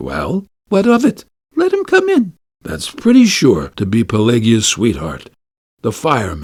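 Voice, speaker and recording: A man uses a put-on character voice with a rumbling sound. He speaks at a moderate pace. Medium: read story. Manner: grumbling, drowsy.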